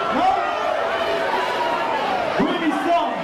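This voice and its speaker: Against crowd noise and audible room echo, a man speaks at a fairly slow pace. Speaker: stage host or hype man. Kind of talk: crowd hype on stage mic. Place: bar.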